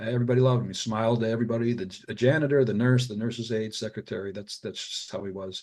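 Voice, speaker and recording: Fairly even in intonation, a man with an American accent speaks at a medium pitch. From US Midwest, Detroit suburbs. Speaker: radiologist and author. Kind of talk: podcast interview. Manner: halting, many fillers and repetitions.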